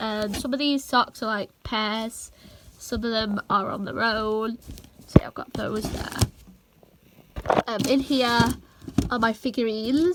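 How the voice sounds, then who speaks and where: Over noticeable background noise, a woman talks at a fairly high pitch with fairly even intonation. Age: young. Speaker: vlogger. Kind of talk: casual talk to camera.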